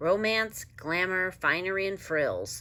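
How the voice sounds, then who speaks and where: A female-sounding put-on character voice rumbles at a middle pitch. The pace is fairly slow. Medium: read story. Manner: grumbling, weary.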